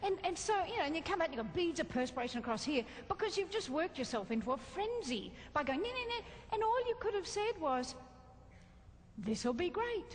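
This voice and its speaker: A woman talks with an Australian accent at a moderate pace. Her pitch swings very widely over noticeable background noise. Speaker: motivational speaker. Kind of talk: keynote talk to a live audience. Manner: lively, entertaining.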